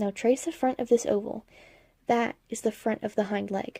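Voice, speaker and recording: A woman's fairly high voice carries a dark, mellow tone at a moderate pace, with a dry, close sound and no echo. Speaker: hobby artist and animator. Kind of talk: drawing tutorial narration. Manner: monotone.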